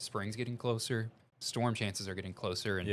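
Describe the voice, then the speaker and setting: With a Missouri accent, a man talks at a moderate pace and medium pitch against a quiet background. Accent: Missouri Southern. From Missouri, cattle-farming family. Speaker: TV meteorologist.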